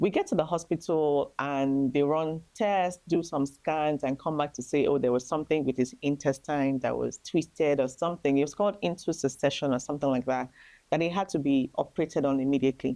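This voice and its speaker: In a Nigerian accent, a woman speaks at a fairly quick pace with a very deep, low pitch and ordinary pitch variation. Her tone is dark and mellow, and the background is quiet. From Nigeria, Lagos. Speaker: grieving mother sharing testimony. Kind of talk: testimony.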